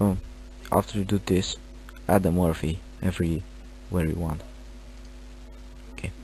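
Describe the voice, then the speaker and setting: Very deep and low, a man's somewhat breathy voice has a dark, mellow tone, very wide pitch swings, a moderate pace, and long, frequent pauses. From Romania. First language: Romanian. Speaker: gaming tutorial creator. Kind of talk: tutorial. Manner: halting.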